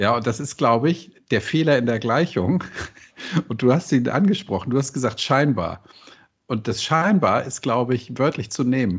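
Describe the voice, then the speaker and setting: In a slight Hamburg accent, a man talks with lively intonation. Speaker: podcast host. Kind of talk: interview.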